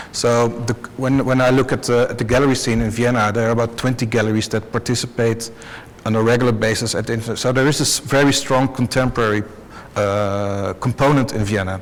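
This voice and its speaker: Speaking at a fairly quick pace, a man has a medium pitch and a Dutch accent. His intonation is flat and monotone, with noticeable background noise. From Netherlands. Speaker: art fair director. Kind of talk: panel discussion. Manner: halting.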